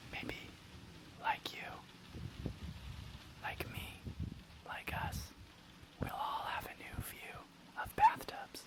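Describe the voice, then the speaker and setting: A man whispers in a relaxed tone, with long, frequent pauses. His loudness swings widely, and there is noticeable background noise. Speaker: tea ASMR creator and storyteller. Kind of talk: close-whisper ASMR story time, outdoor. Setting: outdoors in Japan with nature sounds. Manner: soft, whispered, intimate, relaxed, chatty.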